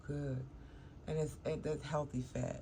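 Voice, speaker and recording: Audible room echo surrounds a woman mumbling at a moderate pace. Her voice is very deep and low, somewhat breathy, with a dark, mellow tone. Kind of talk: casual vlog talk. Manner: casual, meandering.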